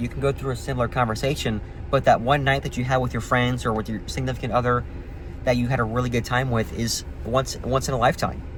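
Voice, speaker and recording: An ordinary speaking voice at a fairly quick pace, with fairly even intonation. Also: man. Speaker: vlogger. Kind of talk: casual monologue.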